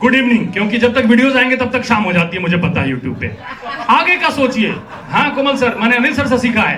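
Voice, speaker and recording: A man with an extremely high pitch speaks in a raised, projected voice with an animated tone and ordinary pitch variation. Audible room echo and noticeable background noise are present. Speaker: event anchor, actor and comedian. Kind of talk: live event anchoring with comedy.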